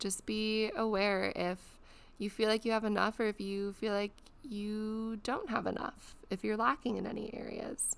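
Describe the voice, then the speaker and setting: With flat, monotone intonation, a woman talks in a fairly high voice. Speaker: podcast host. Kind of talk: guided meditation. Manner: slow; soft-spoken.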